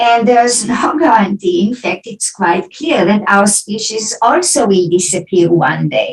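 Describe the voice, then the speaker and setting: This is a woman speaking. She has an Israeli accent. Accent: Israeli accent, often taken for German. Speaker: philosophy professor. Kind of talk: academic Q&A after lecture.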